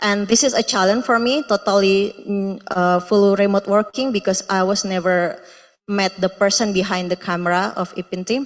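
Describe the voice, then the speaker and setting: A woman speaks at a moderate pace with an Indonesian accent. Her pitch sits in the middle of her range, and her intonation stays fairly even. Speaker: research intern presenting at symposium. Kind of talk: presentation. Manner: halting, many fillers.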